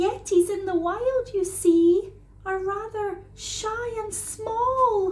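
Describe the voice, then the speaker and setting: A woman speaks in a put-on character voice with an extremely high pitch. Her pace is very slow. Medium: read story. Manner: shy, gentle.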